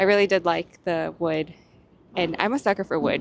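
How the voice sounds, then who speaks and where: A woman's plain, everyday voice at a medium pitch. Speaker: lifestyle vlogger. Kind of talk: casual chat. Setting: outdoors.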